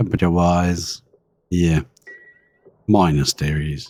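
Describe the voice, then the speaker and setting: A man speaks with a British accent. His pitch is very deep and low. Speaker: video game streamer. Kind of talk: live gameplay commentary. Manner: animated.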